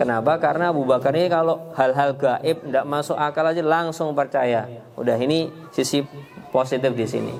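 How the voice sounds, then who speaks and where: With music in the background, a man speaks at a fairly high pitch, his intonation fairly even and his loudness very even. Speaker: Islamic preacher giving parenting talk. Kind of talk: Q&A answer in religious parenting talk. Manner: hesitant, many fillers.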